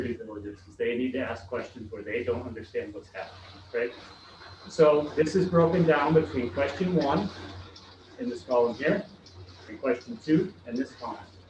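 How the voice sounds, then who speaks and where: The speaker is a man with ordinary pitch variation. He talks at a fairly quick pace. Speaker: school construction consultant presenting to a board. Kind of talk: presentation to a school board. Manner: fast; hesitant, many fillers.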